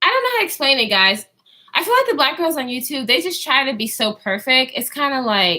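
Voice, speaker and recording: A woman talks in a high voice with very wide pitch swings and a bright, sharp tone. Her voice is raised and projected, and her pace is fairly quick. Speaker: YouTuber vlogger. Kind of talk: casual livestream chat. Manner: halting with many fillers.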